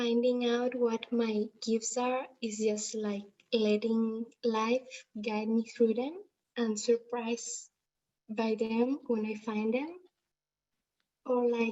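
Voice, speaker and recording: Here a woman with a Spanish accent talks at a very slow pace. Her fairly high voice stays monotone and flat. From Spain. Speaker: livestream participant. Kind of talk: Q&A question. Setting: livestream. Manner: halting.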